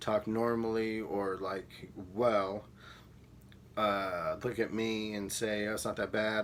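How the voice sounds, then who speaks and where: Over noticeable background noise, a man with a fairly low voice speaks at a very slow pace. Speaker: vlogger. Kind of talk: personal vlog monologue. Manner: halting.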